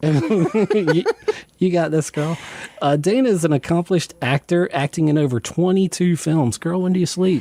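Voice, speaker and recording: This man has a high pitch, a dark, mellow tone and an American accent, with ordinary pitch variation. His loudness is very even, and the sound is dry and close with no echo. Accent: southern drawl, comes out at times. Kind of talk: radio interview. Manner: animated.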